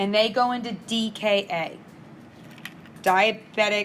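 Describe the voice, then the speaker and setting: Fairly even intonation at a fairly slow pace, over noticeable background noise. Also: woman. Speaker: nursing instructor. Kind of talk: lecture.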